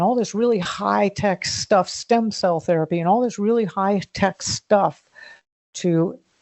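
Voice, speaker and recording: Using a normal speaking voice, a woman speaks at a moderate pace with ordinary pitch variation. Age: 60s. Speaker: founder of a backyard food production network. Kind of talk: podcast interview.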